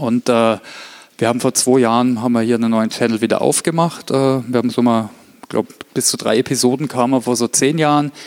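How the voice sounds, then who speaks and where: The man uses an ordinary speaking voice, with fairly even intonation and very even loudness. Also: medium pitch for a man, fairly quick pace. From Germany, Heilbronn area (Württemberg). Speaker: corporate learning specialist and speaker. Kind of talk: conference talk.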